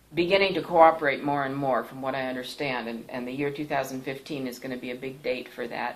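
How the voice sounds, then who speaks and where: Very fast and very deep in pitch, a woman speaks with an American accent over noticeable background noise. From Thailand (Bangkok), American missionary family. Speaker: pastor and missionary. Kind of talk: personal testimony. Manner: hesitant, frequent fillers.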